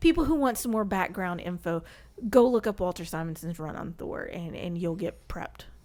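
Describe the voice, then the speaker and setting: In a Southern US accent, a woman speaks at a medium pitch and a moderate pace with an animated tone. Her pitch variation is ordinary, and her loudness swings widely. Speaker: podcast guest, comics fan. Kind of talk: casual chat.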